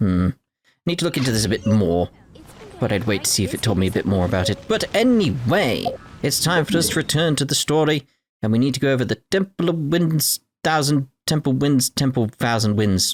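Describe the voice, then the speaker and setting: With a British accent, a man talks at a fairly quick pace and medium pitch, his pitch swinging very widely. His loudness stays very even, and the sound is dry and close with no echo. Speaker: video game player narrating a story playthrough. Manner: enunciates clearly.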